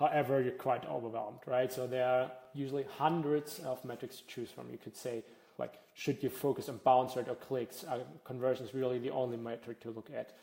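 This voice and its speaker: A man's dark, mellow voice at medium pitch with a German accent, fairly quick pace, fairly even intonation and big swings in loudness. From Germany. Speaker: data analytics workshop presenter. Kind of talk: workshop presentation. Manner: frequent filler words (uh, um).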